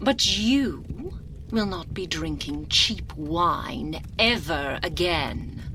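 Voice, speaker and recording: A woman performs a put-on character voice at a very slow pace. Clear background noise runs behind her. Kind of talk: seductive ASMR roleplay. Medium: solo performance. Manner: languid, purring, condescending.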